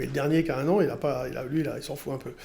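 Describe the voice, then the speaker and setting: This man talks at a very fast pace. His voice carries vocal fry. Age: 60s. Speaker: trader and radio commentator. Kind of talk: casual interview chat. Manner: hesitant, with fillers.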